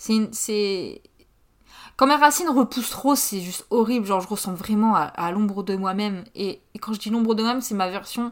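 At a moderate pace and with ordinary pitch variation, an unremarkable speaking voice comes through a very clean recording with a silent background. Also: woman, fairly high pitch for a woman. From northern France, Pas-de-Calais. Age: 20s. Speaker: podcaster. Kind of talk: casual monologue. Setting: home.

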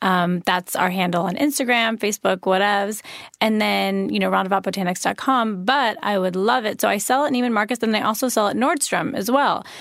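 In an ordinary speaking voice with an American accent, the speaker goes at a fairly quick pace with hardly any pauses and very even loudness. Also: woman, medium pitch for a woman, ordinary pitch variation. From US Midwest, Chicago suburbs. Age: 30s. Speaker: skincare brand founder. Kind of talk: interview.

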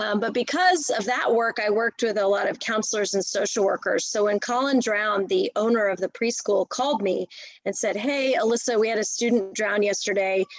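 Speaking at a fairly quick pace with hardly any pauses, a woman with an American accent keeps her loudness very even, her fairly high pitch shows ordinary variation, and noticeable background noise runs underneath. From US, Washington D.C. area. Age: 40s. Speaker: triathlete and nonprofit director. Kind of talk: casual interview.

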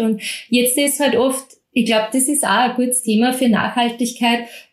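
A woman with a plain, everyday voice, fairly high in pitch, at a moderate pace with fairly even intonation. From Austria, Mostviertel (Lower Austria). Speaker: bread expert and cooking instructor. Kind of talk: interview.

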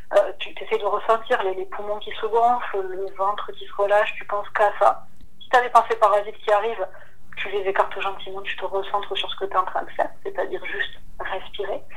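A woman with a fairly high pitch speaks at a fairly quick pace, with ordinary pitch variation, big swings in loudness and audible room echo. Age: 20s. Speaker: novelist. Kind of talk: casual interview.

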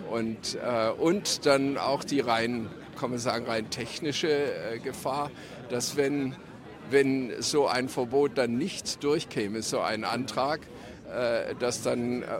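A man speaks at a very slow pace with audible room echo. His medium pitch shows ordinary variation. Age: 70s. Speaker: demonstrator. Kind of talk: street interview. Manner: halting.

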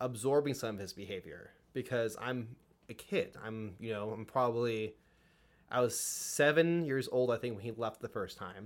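A man with an American accent speaks in a plain, everyday voice at medium pitch, with ordinary pitch variation. His pace is moderate, and the recording is very clean with a silent background. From California. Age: 20s. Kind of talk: casual chat.

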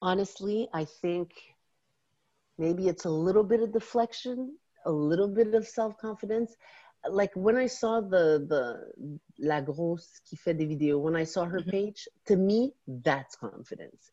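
Speaking in a French accent, a woman has a medium pitch, a dark, mellow tone and lively intonation at a fairly slow pace. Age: 40s. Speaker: guest on podcast. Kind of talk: casual chat. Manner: animated.

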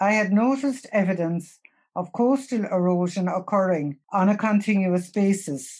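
A dark, mellow tone in a Cork accent, with ordinary pitch variation and a fairly slow pace. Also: woman. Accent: Cork Irish. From Youghal, County Cork, Ireland. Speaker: older local resident. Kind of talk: reading aloud a prepared essay.

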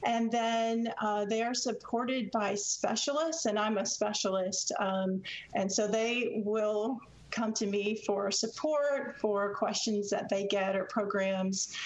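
Delivered at a very slow pace with very even loudness and ordinary pitch variation, the speech has noticeable background noise behind it. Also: woman, fairly high pitch for a woman. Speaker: extension service economist. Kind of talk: radio interview.

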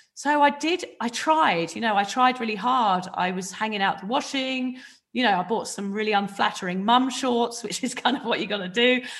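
A woman at a moderate pace with hardly any pauses, fairly high in pitch, in a southern English accent. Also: ordinary pitch variation. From southern England, near Reading. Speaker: author and podcast host, recovering drinker. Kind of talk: personal testimony in interview.

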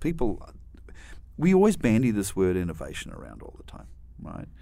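Very fast speech with a New Zealand accent. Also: man. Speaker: university dean, veterinarian and scientist. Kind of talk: interview.

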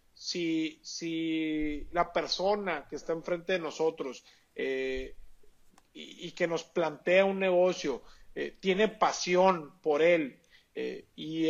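A man at a high pitch for a man, with fairly even intonation and a very slow pace. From Mexico, Sonora (Hermosillo). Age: 30s. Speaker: entrepreneur. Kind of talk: interview. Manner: halting, many repetitions and fillers.

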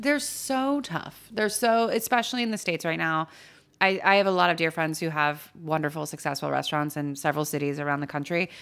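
In a very clean recording with a silent background, a woman with a Californian accent talks fairly quickly, her fairly low pitch moving in lively intonation. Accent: Californian American. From US West Coast, Los Angeles San Fernando Valley. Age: 30s. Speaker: chef and cookbook author. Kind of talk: casual chat. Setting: studio.

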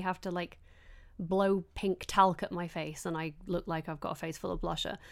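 Speaking with a Yorkshire accent, a woman has a medium pitch. She talks at a fairly quick pace. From northern England. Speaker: beauty podcast host. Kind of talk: casual chat. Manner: animated.

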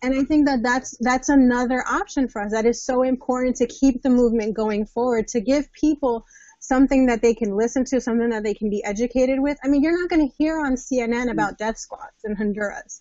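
A woman's high voice with an American accent, fairly quick and with hardly any pauses, with ordinary pitch variation. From New Jersey. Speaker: marriage and family therapist. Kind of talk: panel discussion.

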